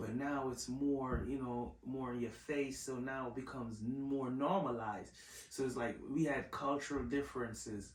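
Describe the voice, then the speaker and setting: A man of medium pitch speaks at a moderate pace with fairly even intonation, amid audible room echo and noticeable background noise. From Jamaica. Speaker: podcast host. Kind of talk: casual chat.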